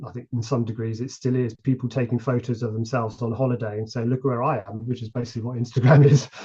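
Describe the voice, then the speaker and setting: Speaking very fast with hardly any pauses, a man with a British accent keeps a monotone, flat intonation. His medium-pitched voice is somewhat breathy, with a dark, mellow tone. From UK. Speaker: model ship builder. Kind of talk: podcast interview. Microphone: connection issues.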